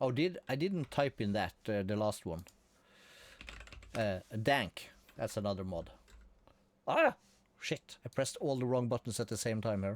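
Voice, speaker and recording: With a Norwegian accent, a man talks at a moderate pace with long, frequent pauses in a dry, close sound with no echo. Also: medium pitch for a man, lively intonation. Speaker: gaming streamer. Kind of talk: casual live-stream commentary. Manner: relaxed.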